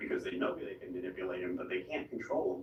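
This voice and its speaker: Noticeable background noise is present in this clip. Over it, a man talks. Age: 60s. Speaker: political candidate. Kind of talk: interview. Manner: halting.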